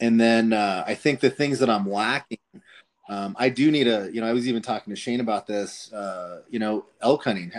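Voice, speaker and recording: Using a plain, everyday voice, a man with an American accent talks at a fairly quick pace, a medium pitch and ordinary pitch variation. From southern Colorado. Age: 30s. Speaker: hunting podcast host. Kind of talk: casual chat.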